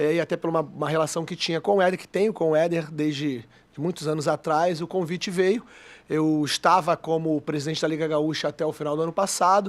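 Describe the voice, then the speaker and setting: A man with a Rio de Janeiro accent, fairly high pitch and fairly even intonation at a fairly quick pace, on a very clean recording with a silent background. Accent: carioca accent, kept. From Rio de Janeiro, Brazil. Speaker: football club executive. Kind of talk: radio interview.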